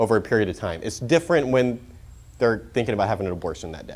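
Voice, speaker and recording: In an American accent, a man is speaking. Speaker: pro-life speaker. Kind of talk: conference talk. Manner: casual, filler-heavy; fast.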